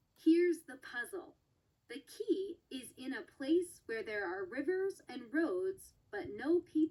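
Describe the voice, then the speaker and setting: The speaker puts on a character voice and keeps to a fairly slow pace. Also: woman, extremely high pitch for a woman. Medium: read story. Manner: warm, twinkling, playful.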